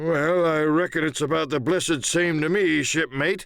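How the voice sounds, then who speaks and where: Here a man puts on a character voice at a fairly high pitch. He talks at a moderate pace. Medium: read story. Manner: sly, coaxing, drawling.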